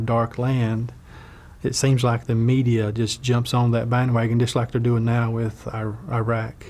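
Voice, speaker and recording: A man with a North Carolina accent talks in a monotone, flat intonation. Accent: Southern US, North Carolina. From Wilkes County, North Carolina. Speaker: Baptist minister, former logger. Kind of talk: oral history interview answer.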